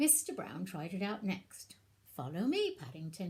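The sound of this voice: Unforced reading voice, nothing more.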